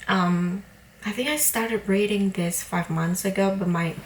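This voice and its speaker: A woman's very slow, medium-pitched speech with a non-native accent and noticeable background noise. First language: not English. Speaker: book vlogger. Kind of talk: casual vlog talk. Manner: hesitant, many fillers.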